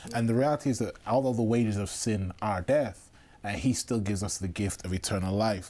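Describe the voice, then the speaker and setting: Fairly low-pitched man with a Mancunian accent, dark, mellow tone, ordinary pitch variation and a fairly quick pace. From Manchester, England. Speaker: seminary student. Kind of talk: casual chat.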